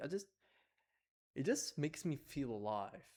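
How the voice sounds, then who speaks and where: The man's voice sits at a medium pitch. He keeps a moderate pace. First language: Arabic. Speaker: vlogger. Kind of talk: personal vlog monologue. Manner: halting, many fillers and restarts.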